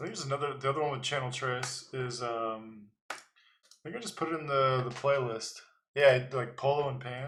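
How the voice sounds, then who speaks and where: Amid audible room echo, a man of medium pitch speaks at a fairly quick pace with fairly even intonation and big swings in loudness. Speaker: livestreamer, designer. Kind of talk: casual livestream talk. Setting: livestream with music playing.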